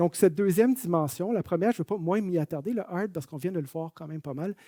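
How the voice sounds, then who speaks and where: High-pitched male voice with a Quebec accent, dark and mellow in tone, very fast pace, dry, close sound with no echo. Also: ordinary pitch variation, big swings in loudness. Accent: Canadian French (Québécois). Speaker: management consultant. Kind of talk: webinar presentation. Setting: online webinar.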